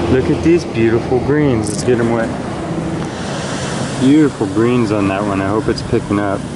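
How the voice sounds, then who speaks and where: The sound is dry with no echo, set against loud background noise. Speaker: rockhounding vlogger. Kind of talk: casual vlog narration. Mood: calm, admiring. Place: beach.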